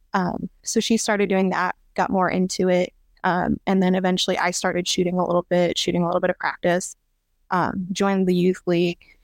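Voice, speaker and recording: On a very clean recording with a silent background, a woman with a Midwestern American accent speaks at a medium pitch and a fairly quick pace. Her intonation is monotone and flat, her loudness very even, and the sound dry and close with no echo. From central Illinois. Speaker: competitive trap shooter. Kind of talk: casual interview.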